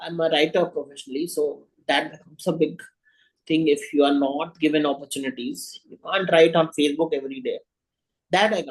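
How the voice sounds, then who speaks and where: Speaking with an Indian accent at a fairly quick pace, a man with a fairly high voice shows ordinary pitch variation and big swings in loudness. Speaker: writer. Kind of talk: interview. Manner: halting.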